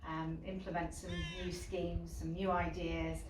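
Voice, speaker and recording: Audible room echo and noticeable background noise around a woman talking at a moderate pace. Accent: Yorkshire. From Yorkshire (York). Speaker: football club director. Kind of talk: interview. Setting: indoors at stadium.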